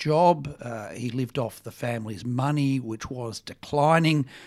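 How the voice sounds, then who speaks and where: In an Australian accent, a man talks fairly slowly with a fairly high pitch and ordinary pitch variation. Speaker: think tank director. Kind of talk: book discussion.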